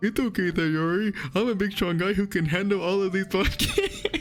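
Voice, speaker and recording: Over music in the background, a woman puts on a character voice at a medium pitch, speaking fairly quickly with fairly even intonation and very even loudness. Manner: comedic, mock-macho.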